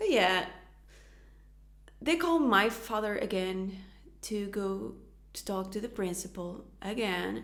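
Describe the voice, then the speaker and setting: Through audible room echo, a woman with a Portuguese accent and medium pitch speaks at a fairly slow pace, with long, frequent pauses. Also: ordinary pitch variation. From Portugal. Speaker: youtuber, astrologer. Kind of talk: personal testimony.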